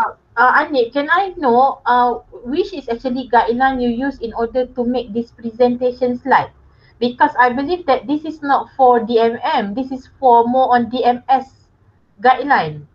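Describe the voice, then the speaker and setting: A woman's high-pitched voice at a fairly slow pace with ordinary pitch variation. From Malaysia. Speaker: lecturer. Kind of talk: oral examination. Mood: warm, encouraging. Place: home room. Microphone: connection drops; video call.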